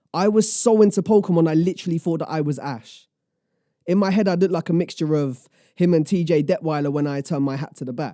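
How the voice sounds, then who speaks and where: On a very clean recording with a silent background, a man talks at a very fast pace in a high pitch, with a dark, mellow tone and ordinary pitch variation. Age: 20s. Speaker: spoken word poet. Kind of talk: spoken word poetry performance. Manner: rhythmic.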